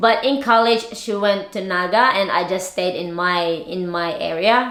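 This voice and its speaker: A woman speaks at a very slow pace. Room echo is audible. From Philippines, Bicol region. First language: Bicol dialect / Tagalog. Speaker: lifestyle vlogger. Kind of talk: casual vlog chat. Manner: halting, repeats words.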